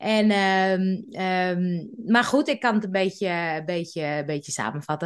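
A woman's plain, everyday voice at medium pitch, with lively intonation and a quiet background. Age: 50s. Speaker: podcast expert. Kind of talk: casual interview.

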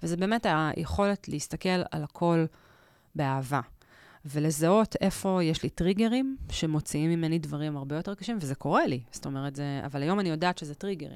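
A woman with a very deep, low pitch speaks at a moderate pace with lively intonation on a very clean recording with a silent background. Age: 40s. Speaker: stand-up comedian and journalist. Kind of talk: casual interview chat.

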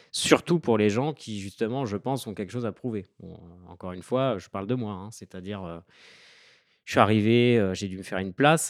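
In a plain, everyday voice, a man speaks at a moderate pace with fairly low pitch and ordinary pitch variation, on a very clean recording with a silent background and a dry, close sound with no echo. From France, Île-de-France (Seine-et-Marne). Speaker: author and Instagram creator. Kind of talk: podcast interview.

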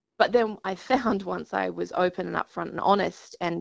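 Here a woman speaks with an Australian accent. Her pace is moderate. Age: 30s. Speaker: TV news presenter and patient advocate. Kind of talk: interview.

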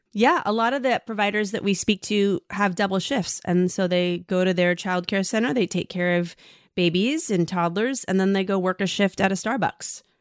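An unremarkable speaking voice moves at a moderate pace with ordinary pitch variation, very even loudness and hardly any pauses. The sound is dry and close with no echo, on a very clean recording with a silent background. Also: woman, medium pitch for a woman. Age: 40s. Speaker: journalist and podcast host. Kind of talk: interview conversation.

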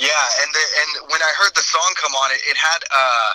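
A man with an American accent is heard in a dry, close sound with no echo, over noticeable background noise. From US West Coast, San Francisco Bay Area. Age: 20s. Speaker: metal vocalist. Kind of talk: interview.

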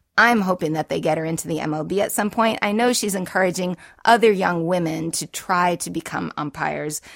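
A woman with an American accent has a plain, everyday voice at a medium pitch, talking at a fairly quick pace with lively intonation in a very clean recording with a silent background and a dry, close sound with no echo. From Boston. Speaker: podcast host. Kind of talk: casual interview chat.

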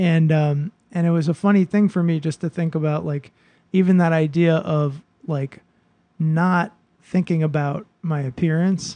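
In a dark, mellow tone, a man speaks at a moderate pace. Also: fairly high pitch for a man, fairly even intonation. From Boston. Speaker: podcast host. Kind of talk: casual chat.

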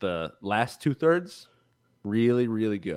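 On a very clean recording with a silent background, a man with a plain, everyday voice speaks at a fairly slow pace and medium pitch. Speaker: podcast co-host.

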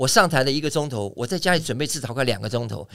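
A man talks very fast. His tone is bright and sharp, with vocal fry. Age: 60s. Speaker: aerobics instructor. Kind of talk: casual interview chat. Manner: animated.

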